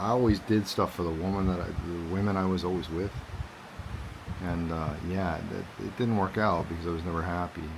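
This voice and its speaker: A man talks at a fairly quick pace with a very deep, low pitch. His intonation is fairly even, over noticeable background noise. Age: 40s. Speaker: vlogger. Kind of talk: personal vlog monologue. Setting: outdoors. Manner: halting, repetitive.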